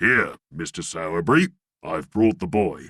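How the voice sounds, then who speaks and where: At a moderate pace, a man puts on a character voice that is raspy and fairly low in pitch. The sound is dry and close, with no echo. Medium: read story. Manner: pompous.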